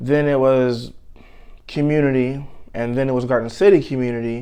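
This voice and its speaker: Talking at a moderate pace with an American accent, a man has a fairly high pitch and a dark, mellow tone. His intonation is fairly even, and audible room echo surrounds the voice. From Michigan, Detroit area (Inkster). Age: 30s. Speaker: interviewee sharing life story. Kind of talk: interview.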